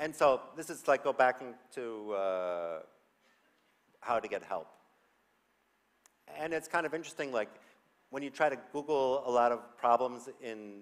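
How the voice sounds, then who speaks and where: Speaking with lively intonation, a man of medium pitch goes at a fairly slow pace. He leaves long, frequent pauses. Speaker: conference speaker, developer tool team member. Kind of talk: conference talk. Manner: animated.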